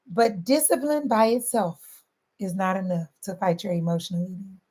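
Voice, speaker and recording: Somewhat breathy and animated, a woman with a Southern accent talks at a moderate pace with lively intonation. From St. Louis, Missouri. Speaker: weight loss coach. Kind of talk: motivational talk.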